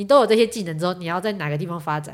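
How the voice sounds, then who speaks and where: Speaking at a very fast pace, a woman with a fairly low pitch uses ordinary pitch variation. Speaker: event planner. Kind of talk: casual chat. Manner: loud.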